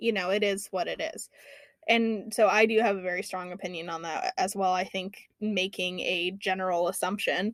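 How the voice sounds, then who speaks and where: A woman at a moderate pace, with big swings in loudness. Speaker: podcast host. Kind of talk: casual chat presenting research. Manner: halting, stumbling over words.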